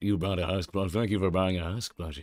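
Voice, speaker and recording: A man with a very deep, low voice speaks at a moderate pace. His intonation is fairly even, with music in the background. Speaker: in-character performer answering fans.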